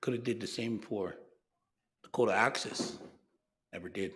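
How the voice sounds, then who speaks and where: The speech has fairly even intonation. Audible room echo surrounds it. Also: man. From Lakota, Great Plains US. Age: 70s. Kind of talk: conference speech. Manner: halting, with repetitions.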